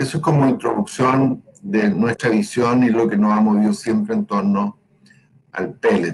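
Swinging very widely in pitch around a medium level, a man speaks at a fairly slow pace. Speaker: pellet company owner. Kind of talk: conference presentation.

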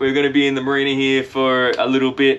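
A man talks fast in a flat monotone, his tone clear, smooth and fairly bright. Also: medium pitch for a man.

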